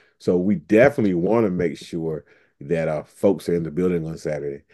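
A man's very deep, low voice with a dark, mellow tone, in an eastern North Carolina accent, with fairly even intonation, a fairly quick pace and a quiet background. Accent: US Southern, eastern North Carolina. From Eastern North Carolina (Pitt/Greene County). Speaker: civil rights organization officer and educator. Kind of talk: podcast interview.

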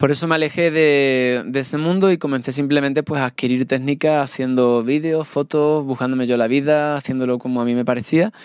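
A man with an ordinary speaking voice talks at a fairly quick pace and fairly high pitch, with hardly any pauses. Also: fairly even intonation. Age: 30s. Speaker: traveler and documentary maker. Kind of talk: casual interview.

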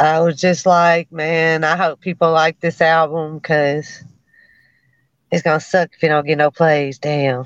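In a Memphis accent, the speaker holds a monotone, flat intonation, with a dry, close sound, no echo and a quiet background. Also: woman, very deep, low pitch for a woman. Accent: Memphis Southern US. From US South, Memphis. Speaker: rapper. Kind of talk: casual interview.

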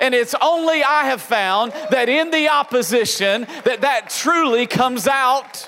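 An animated, raised and projected male voice at an extremely high pitch, very even in loudness with ordinary pitch variation, fairly slow yet with hardly any pauses, over noticeable background noise. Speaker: pastor. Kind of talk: sermon. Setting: church with live congregation. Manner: animated, call-and-response preaching; emphatic, rising with the congregation.

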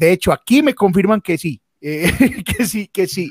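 A man's lively intonation, with a dry, close sound and no echo. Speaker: comedian and livestream host. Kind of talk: casual chat. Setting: live stream.

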